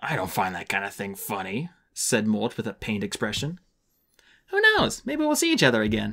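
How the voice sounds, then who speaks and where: A man's put-on character voice at medium pitch, fairly quick in pace, on a very clean recording with a silent background. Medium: read story. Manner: whiny.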